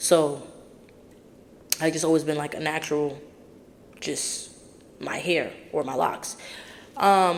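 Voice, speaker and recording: Over noticeable background noise, a woman with a very deep, low pitch talks at a fairly slow pace. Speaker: podcast host. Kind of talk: casual monologue. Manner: loud.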